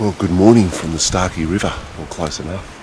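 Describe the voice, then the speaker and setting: A quiet man with an Australian accent speaks at a very deep, low pitch. Noticeable background noise and audible room echo surround him. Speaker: motorcycle adventure vlogger. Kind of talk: vlog narration. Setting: outdoors at camp. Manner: casual; quiet, keeping voice down.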